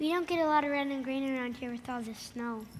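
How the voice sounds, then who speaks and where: A put-on character voice, female-sounding and high-pitched, rushes along at a very fast pace against clear background noise. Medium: stage play. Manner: playful, punning.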